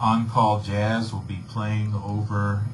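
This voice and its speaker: A man talks very slowly in a flat monotone at a fairly low pitch, with audible room echo and noticeable background noise. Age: 60s. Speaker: saxophonist. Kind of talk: radio interview. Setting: radio studio.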